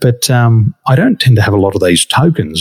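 With an Australian accent, a man speaks at medium pitch and a moderate pace, his intonation lively, in a dry, close sound with no echo. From Australia, western Sydney. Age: 40s. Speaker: wakeboarding champion and business coach. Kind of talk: casual interview. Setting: remote podcast recording.

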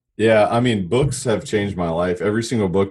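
In a plain, everyday voice, a man speaks at a moderate pace. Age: 30s. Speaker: commercial real estate broker and coach. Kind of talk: interview conversation.

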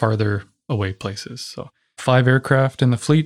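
A man's plain, everyday voice with a Canadian accent, ordinary pitch variation and a moderate pace, on a very clean recording with a silent background and a dry, close sound with no echo. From Ontario, Canada. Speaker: air force pilot. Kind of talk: interview.

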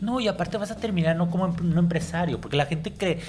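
Fairly quick speech in a Mexican accent, with audible room echo and music in the background. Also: man. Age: 40s. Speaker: entrepreneur and podcast host. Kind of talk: casual interview.

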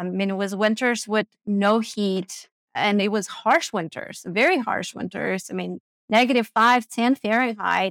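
The voice has ordinary pitch variation and comes through a dry, close sound with no echo. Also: woman, fairly high pitch for a woman, fairly slow pace. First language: not English. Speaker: money coach and investor. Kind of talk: casual interview.

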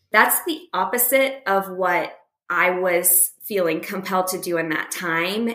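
In a room with audible echo, a woman speaks fairly slowly at medium pitch, her tone bright and sharp and her intonation fairly even. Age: 40s. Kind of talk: casual chat. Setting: remote call.

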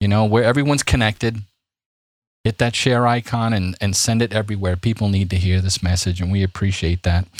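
On a very clean recording with a silent background and a dry, close sound with no echo, a man talks at a fairly quick pace in a New York accent. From US Northeast, Brooklyn, New York City. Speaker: podcast host, Bible teacher. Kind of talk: religious discussion podcast; scripted outro. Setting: studio. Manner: animated.

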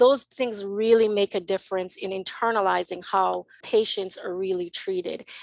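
With an American accent, a woman speaks at a medium pitch and moderate pace, barely pausing. Her intonation is fairly even, and the sound is dry and close with no echo. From Jamaica, then Connecticut from about age 13. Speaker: nonprofit executive director. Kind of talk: interview. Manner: hesitant, many fillers.

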